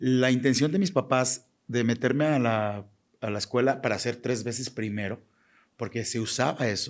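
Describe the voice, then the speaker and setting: In a very clean recording with a silent background, a man with a normal speaking voice talks at a moderate pace and medium pitch with ordinary pitch variation. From Mexico, Jalisco. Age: 40s. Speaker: fashion designer. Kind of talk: interview.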